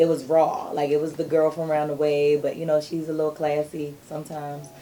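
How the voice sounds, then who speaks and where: In a Maryland accent, a woman with a very deep, low pitch talks at a fairly quick pace in a monotone, flat manner over noticeable background noise. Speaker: R&B singer. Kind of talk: interview.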